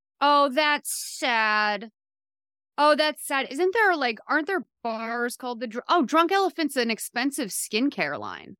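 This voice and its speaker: On a very clean recording with a silent background, a woman with an American accent speaks in a raised, projected voice at a high pitch, her tone bright and sharp, her intonation lively and her pace fairly slow, the sound dry and close with no echo. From Massachusetts, US. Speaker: TV writer and podcast host. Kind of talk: casual chat.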